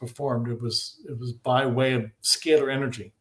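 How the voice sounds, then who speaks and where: A man speaks at medium pitch, somewhat breathy. His intonation is fairly even. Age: 60s. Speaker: scalar energy researcher. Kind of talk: interview. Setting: live video stream.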